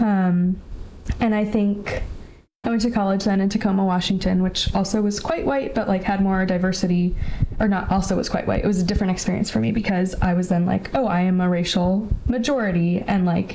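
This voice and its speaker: A woman with an American accent, medium pitch, fairly quick pace, fairly even intonation and very even loudness, with audible room echo and noticeable background noise. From California, Bay Area. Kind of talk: casual chat.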